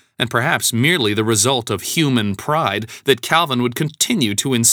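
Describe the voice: Straightforward, plain reading aloud.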